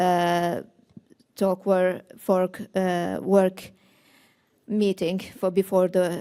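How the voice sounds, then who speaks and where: A woman's dark, mellow voice at medium pitch, very slow with long, frequent pauses, monotone, flat intonation, and very even loudness. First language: not Finnish, not English. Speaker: seminar participant, migrant. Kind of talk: audience question response. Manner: halting.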